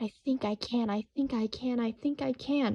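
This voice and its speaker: A soft-spoken woman uses a put-on character voice at a high pitch. She talks at a moderate pace. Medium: read story. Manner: determined, hopeful.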